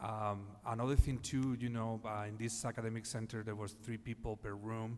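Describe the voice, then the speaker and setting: A man's fairly low voice in a monotone, flat delivery. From Spain, Madrid. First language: Spanish. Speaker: healthcare executive panelist. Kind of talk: panel discussion. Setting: conference stage. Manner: halting, many fillers.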